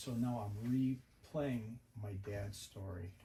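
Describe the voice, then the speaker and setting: The voice has an American accent and a dark, mellow tone. It is somewhat breathy, with ordinary pitch variation. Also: man. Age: 70s. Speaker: Vietnam veteran and retired home builder. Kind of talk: casual interview.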